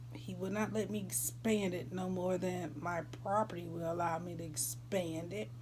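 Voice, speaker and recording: Talking with an American accent, a woman keeps a moderate pace with hardly any pauses, and audible room echo can be heard. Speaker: vlogger. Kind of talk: casual chat.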